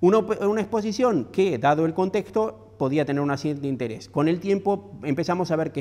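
The speech moves at a fairly quick pace with hardly any pauses, very wide pitch swings and a dark, mellow tone. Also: man. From Argentina. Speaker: architecture critic and professor. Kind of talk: lecture. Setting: stage with audience. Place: hall.

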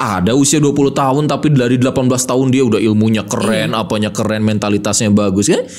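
Very fast and with hardly any pauses, a man speaks in an animated, energetic tone. His pitch varies in an ordinary way. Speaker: podcast host and motivational speaker; podcast host, motivational speaker. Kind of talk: casual interview. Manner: energetic, fiery. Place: studio. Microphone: studio mic.

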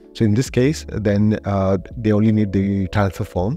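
Over faint music in the background, a man with a fairly low pitch speaks at a moderate pace with ordinary pitch variation, in a dry sound with no echo. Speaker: guest. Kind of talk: interview answer. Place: studio. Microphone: studio mic.

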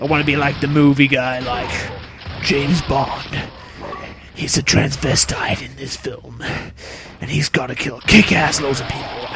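A man's put-on character voice, fairly high in pitch, at a moderate pace with long, frequent pauses and clear background noise. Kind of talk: over-the-top, exaggerated. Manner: epic, dramatic, movie-trailer style.

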